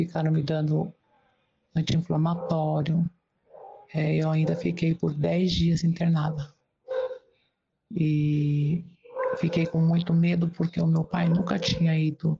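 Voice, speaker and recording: A woman speaks at a very slow pace with long, frequent pauses. Her intonation is monotone and flat, her loudness very even. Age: 60s. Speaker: interviewee sharing personal experience. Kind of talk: testimony. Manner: halting.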